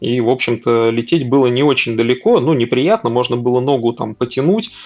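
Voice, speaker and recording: A man uses an ordinary speaking voice at medium pitch, talking at a moderate pace with fairly even intonation. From Russia, Tver region. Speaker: data center services manager. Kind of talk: casual interview chat.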